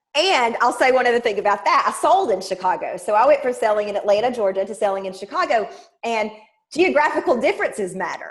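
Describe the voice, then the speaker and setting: A woman with a Southern US accent talks very fast and loud, in an animated tone. Her fairly high voice swings very widely in pitch. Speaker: sales trainer. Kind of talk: interview.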